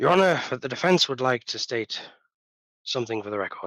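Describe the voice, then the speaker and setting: A man puts on a gruff character voice at a medium pitch, talking at a fairly quick pace. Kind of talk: formal, courtroom.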